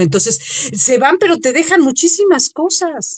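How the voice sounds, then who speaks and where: Her pitch swinging through a very wide range, a woman holds a moderate pace. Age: 50s. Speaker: holistic therapist. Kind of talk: radio interview.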